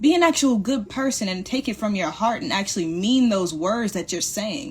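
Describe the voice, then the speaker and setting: Somewhat breathy and fairly high-pitched, a woman speaks with lively intonation. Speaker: motivational live streamer. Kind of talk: motivational talk. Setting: livestream. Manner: fast.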